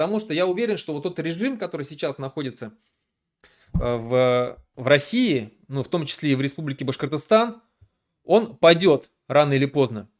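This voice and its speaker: On a very clean recording with a silent background, a man with a fairly high pitch talks at a moderate pace with lively intonation. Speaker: political activist, streamer. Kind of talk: live stream monologue. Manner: hesitant, many fillers and restarts.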